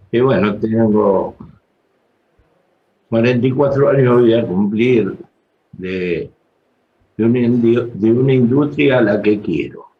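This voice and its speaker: Pausing long and often, a man speaks at a very slow pace with ordinary pitch variation. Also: medium pitch for a man. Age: 60s. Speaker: trade union leader. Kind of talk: panel talk.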